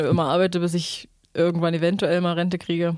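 A woman's fairly low voice in a monotone, flat delivery. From Saxony-Anhalt, Germany (Staßfurt). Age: 20s. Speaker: singer-songwriter. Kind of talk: casual interview chat.

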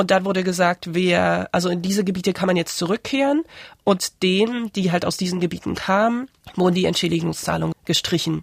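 On a very clean recording with a silent background and a dry, close sound with no echo, a woman speaks fairly quickly at medium pitch with ordinary pitch variation. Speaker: author. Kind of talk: interview. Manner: halting.

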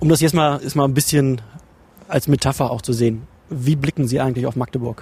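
With an unremarkable speaking voice, a man talks at a fairly quick pace, his pitch medium and his intonation fairly even. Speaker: journalist, regional studio head. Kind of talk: interview. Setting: in a bus and outdoors.

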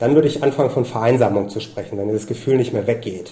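A man speaks over noticeable background noise. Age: young. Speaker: sociologist. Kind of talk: interview. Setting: remote call. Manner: halting, many fillers.

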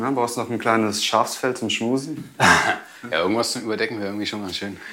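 Long, frequent pauses break up a man's speech amid noticeable background noise and audible room echo. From Cologne, Germany. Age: 30s. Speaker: chimney sweep. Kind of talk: interview testimony.

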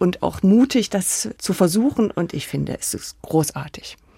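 A woman with a plain, everyday voice and a medium pitch speaks at a fairly slow pace, the sound dry and close with no echo on a very clean recording with a silent background. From Saxony-Anhalt, Germany (village near Sangerhausen). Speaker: architect. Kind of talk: interview.

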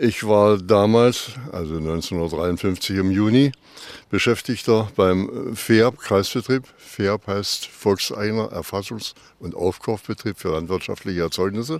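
A man with a fairly low pitch and ordinary pitch variation talks at a very slow pace. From eastern Germany, Wittenberg/Jessen area. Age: 80s+. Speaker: eyewitness. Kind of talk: interview. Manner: hesitant with many fillers.

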